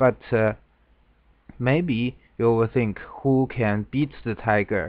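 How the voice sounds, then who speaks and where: In a Chinese accent, a man speaks very slowly at a fairly low pitch with fairly even intonation. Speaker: Go game commentator. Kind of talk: lecture. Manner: halting.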